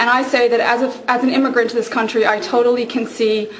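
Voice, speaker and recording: Over noticeable background noise and audible room echo, a woman talks at a fairly quick pace with a fairly high pitch and fairly even intonation. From Ireland. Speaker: political campaign volunteer. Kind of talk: campaign endorsement speech.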